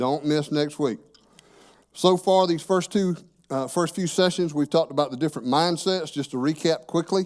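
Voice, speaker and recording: A man with a plain, everyday voice speaks at a moderate pace with a fairly high pitch and ordinary pitch variation. The recording is very clean, with a silent background. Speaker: church teacher. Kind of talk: sermon.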